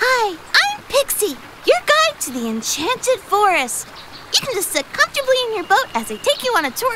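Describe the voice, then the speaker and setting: A woman's put-on character voice, extremely high in pitch with very wide pitch swings, at a moderate pace over clear background noise. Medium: voice reel. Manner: bright, then panicked.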